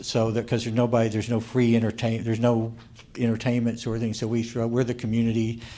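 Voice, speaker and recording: Fairly quick pace, with an American accent. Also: man. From Oklahoma, Tulsa area. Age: 60s. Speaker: minister. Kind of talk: workshop Q&A. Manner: halting, many fillers and restarts.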